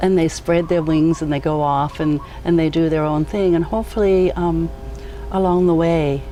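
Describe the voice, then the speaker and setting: A woman's very deep, low voice at a moderate pace, very even in loudness and fairly even in intonation, with music in the background. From New Zealand. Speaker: educator. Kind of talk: casual interview. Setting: outdoors on a back deck.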